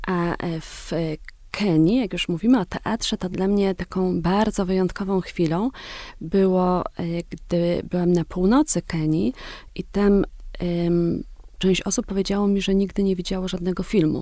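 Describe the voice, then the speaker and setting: A woman speaks at a moderate pace in a medium pitch with a dark, mellow tone. Her intonation is fairly even, on a very clean recording with a silent background. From southern Poland, Wieliczka near Kraków. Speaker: journalist and author. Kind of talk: interview.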